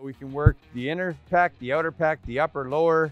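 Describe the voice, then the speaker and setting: Faint music plays in the background as a man talks at a fairly quick pace with ordinary pitch variation, the sound dry with no echo. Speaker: presenter. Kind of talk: tutorial. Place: street.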